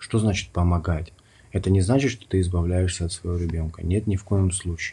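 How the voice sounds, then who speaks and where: A very deep, low male voice, dark and mellow and somewhat breathy, with ordinary pitch variation at a moderate pace, over a quiet background. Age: 30s. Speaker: podcast host, stay-at-home dad. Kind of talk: solo podcast monologue.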